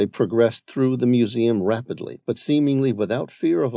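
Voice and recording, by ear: A natural voice reading aloud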